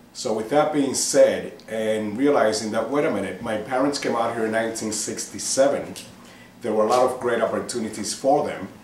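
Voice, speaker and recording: A man's medium-pitched voice with an American accent, fairly quick and fairly even in intonation, with noticeable background noise and audible room echo. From New York City (Manhattan), Cuban-born. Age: 50s. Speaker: political candidate. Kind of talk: interview.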